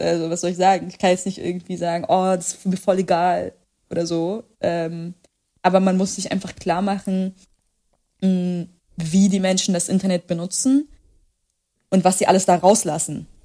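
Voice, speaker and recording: The voice has a dark, mellow tone and monotone, flat intonation, broken by long, frequent pauses. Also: woman, medium pitch for a woman, moderate pace. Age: 20s. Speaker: author and journalist. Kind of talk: casual interview.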